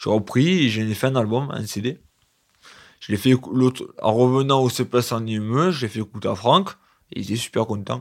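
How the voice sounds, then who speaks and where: A man's medium-pitched voice at a moderate pace, with ordinary pitch variation, on a very clean recording with a silent background. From Provence, southern France. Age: 20s. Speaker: care home resident and amateur singer. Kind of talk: personal testimony. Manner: halting.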